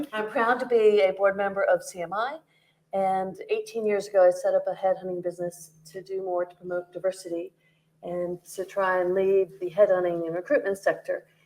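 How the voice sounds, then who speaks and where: With a North American accent, a woman uses a normal speaking voice at a medium pitch and a fairly quick pace. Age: 50s. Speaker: headhunting business founder, panelist. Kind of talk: panel discussion. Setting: stage with audience.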